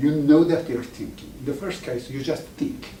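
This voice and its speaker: A man speaks at a medium pitch with an Iranian accent. His pace is moderate, and the room echo is audible. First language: Farsi. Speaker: professor. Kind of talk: lecture. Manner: halting, with many restarts.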